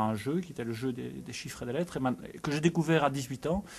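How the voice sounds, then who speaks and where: A man at a very fast pace and a medium pitch. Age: 40s. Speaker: spelling competition enthusiast. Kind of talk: interview. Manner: halting.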